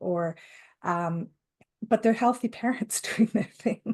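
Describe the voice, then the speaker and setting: A woman's somewhat breathy voice moves at a moderate pace. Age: old. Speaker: grandparent raising a grandchild. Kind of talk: interview answer.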